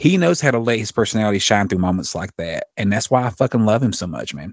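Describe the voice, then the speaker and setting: A man speaks at a very fast pace. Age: 40s. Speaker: podcast host. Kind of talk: casual chat. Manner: animated.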